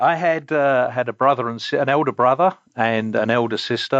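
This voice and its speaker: A man speaks in an English accent at a moderate pace. His pitch is medium and varies in an ordinary way. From England, Essex (Romford). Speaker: company CEO. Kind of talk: interview. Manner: hesitant, many fillers.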